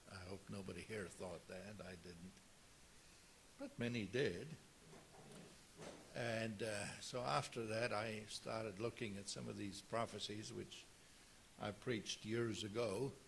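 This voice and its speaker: Amid audible room echo, a man with a fairly low pitch and vocal fry talks at a fairly slow pace, with ordinary pitch variation and long, frequent pauses. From South Africa. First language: Afrikaans. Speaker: pastor. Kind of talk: sermon.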